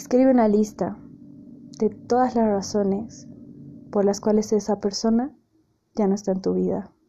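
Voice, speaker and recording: With long, frequent pauses, a woman speaks at a moderate pace in a somewhat breathy, fairly high voice with a dark, mellow tone and fairly even intonation. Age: 20s. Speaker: podcast host. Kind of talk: casual monologue.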